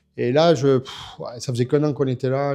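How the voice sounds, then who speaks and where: A man talks at medium pitch and a moderate pace. His tone is dark and mellow, his intonation monotone and flat. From France. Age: 50s. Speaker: drift driver and coach. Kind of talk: interview. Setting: in person. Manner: hesitant, many fillers.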